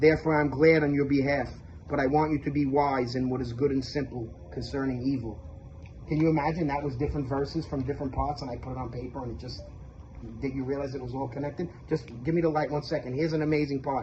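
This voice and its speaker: A man with a fairly high pitch talks at a very fast pace in an animated tone. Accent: Brooklyn. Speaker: religious video maker. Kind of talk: testimony.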